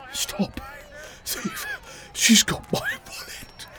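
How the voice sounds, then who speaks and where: A man puts on a wheezy character voice over clear background noise. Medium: read story. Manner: blustering, spluttering, bossy.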